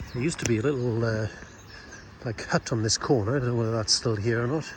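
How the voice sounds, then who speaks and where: A man talks fairly quickly with noticeable background noise. His voice sits at a medium pitch and varies in an ordinary way. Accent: South Welsh. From Wales, Pembrokeshire (Haverfordwest). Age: 60s. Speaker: local vlogger. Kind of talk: casual walking vlog narration. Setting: outdoors, walking around town.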